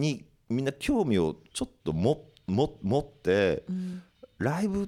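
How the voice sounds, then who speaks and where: Calm and very slow, the man speaks in a dark, mellow tone with very wide pitch swings. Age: 50s. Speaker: record label head and podcast host. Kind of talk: casual chat. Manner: calm, deep delivery.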